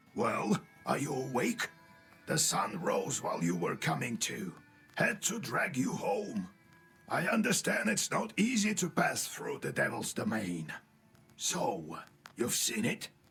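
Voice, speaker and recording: A man does a raspy, cartoonish character voice pitched high, speaking at a fairly slow pace. Faint music plays in the background. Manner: fussy, mentoring.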